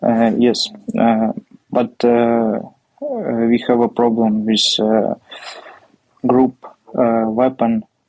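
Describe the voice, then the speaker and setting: A man with a Ukrainian accent, very slow and monotone, very even in loudness, with long, frequent pauses. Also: medium pitch for a man. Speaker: military officer. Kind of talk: interview. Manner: halting.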